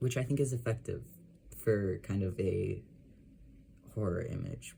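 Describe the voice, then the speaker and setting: Mumbling at a fairly slow pace, a man with a fairly low pitch shows vocal fry, a dark, mellow tone and ordinary pitch variation. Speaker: illustrator. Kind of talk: casual talk to camera. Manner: mumbly.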